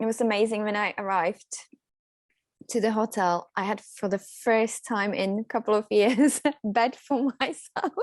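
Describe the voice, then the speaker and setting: With a Czech accent, a woman speaks at a fairly slow pace in a fairly high voice with fairly even intonation, the sound dry and close with no echo over a quiet background. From Czech Republic. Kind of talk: interview. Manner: occasional pauses.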